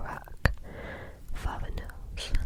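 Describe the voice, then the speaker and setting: A whispering voice goes at a fairly slow pace over noticeable background noise. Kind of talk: ASMR story reading. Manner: whispered.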